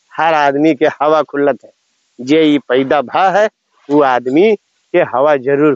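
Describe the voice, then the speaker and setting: The background is quiet and the sound is dry, with no echo. A man speaks at a very slow pace. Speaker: farmer vlogger. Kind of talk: casual vlog chat. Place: farm.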